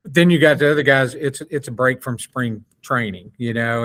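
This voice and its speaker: A man with a medium-pitched, ordinary speaking voice talks at a fairly quick pace. The recording is very clean, with a silent background. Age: 60s. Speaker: sports podcast co-host. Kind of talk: casual chat.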